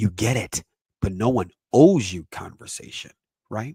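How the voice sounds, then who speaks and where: A somewhat breathy male voice at medium pitch, with ordinary pitch variation, a moderate pace, and a dry, close sound with no echo. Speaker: parenting educator, podcast host. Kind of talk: lecture-style presentation.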